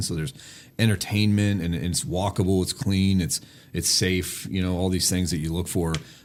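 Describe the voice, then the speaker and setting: Very deep, low male voice with a Pittsburgh accent at a fairly quick pace, on a very clean recording with a silent background. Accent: western Pennsylvania (Pittsburgh). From Pittsburgh, Pennsylvania. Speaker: sports team executive. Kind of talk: casual interview chat.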